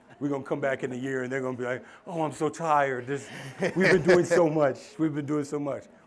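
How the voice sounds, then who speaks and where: This man talks at a very fast pace in an animated tone. His pitch is fairly high. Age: 50s. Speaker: keynote speaker. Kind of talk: keynote speech.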